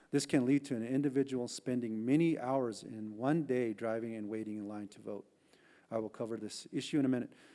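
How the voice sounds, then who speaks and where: A man's dark, mellow, medium-pitched voice with a Southwestern US accent, ordinary pitch variation, a fairly quick pace and big swings in loudness, in a very clean recording with a silent background. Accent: Navajo-accented English. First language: Navajo. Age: old. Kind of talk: prepared testimony at congressional hearing. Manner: formal.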